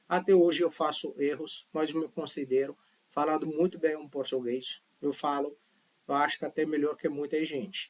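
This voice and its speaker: Here a man talks at a fairly high pitch and a moderate pace. His intonation is monotone and flat. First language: not Portuguese (speaking Portuguese). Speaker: language teacher. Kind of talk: tutorial. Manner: casual, conversational.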